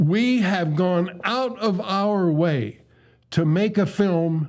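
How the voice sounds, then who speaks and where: A man speaks with a high pitch and ordinary pitch variation. The recording is very clean, with a silent background. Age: 80s+. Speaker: space scientist. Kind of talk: interview.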